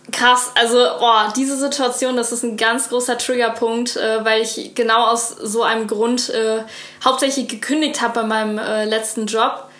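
A woman speaks at a fairly high pitch with monotone, flat intonation, her voice carrying audible room echo and noticeable background noise. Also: moderate pace. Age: 20s. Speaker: cooking content creator. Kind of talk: casual chat.

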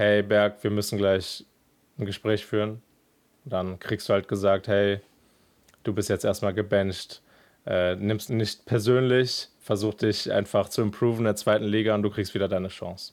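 A man with a fairly low voice speaks with monotone, flat intonation in a very clean recording with a silent background. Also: moderate pace. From Germany, Cologne. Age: 20s. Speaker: professional esports player. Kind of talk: interview testimony.

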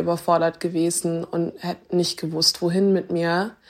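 Her voice is fairly low-pitched, and the woman speaks with a monotone, flat intonation. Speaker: online video presenter. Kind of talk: testimony. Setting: voice message.

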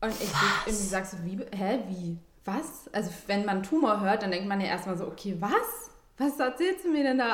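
A woman's medium-pitched voice at a fairly slow pace, with ordinary pitch variation and noticeable background noise. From southern Germany. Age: 30s. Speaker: interviewee sharing personal health story. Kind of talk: personal testimony in casual interview.

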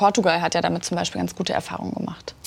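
Speaking at a very fast pace, a woman's voice carries vocal fry. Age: 20s. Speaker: youth interviewer. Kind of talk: political interview. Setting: studio.

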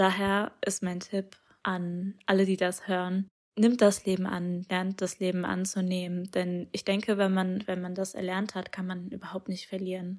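This woman's voice sits at a medium pitch and stays monotone, with flat intonation. She talks at a fairly slow pace. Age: young. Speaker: poet. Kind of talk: testimony.

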